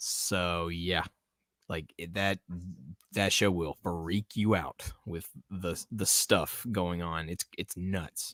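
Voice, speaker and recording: A man's very deep, low voice with an American accent, a very slow pace and fairly even intonation, in a very clean recording with a silent background and a dry, close sound with no echo. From Tennessee, US South. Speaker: podcast host. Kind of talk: casual chat. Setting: live stream.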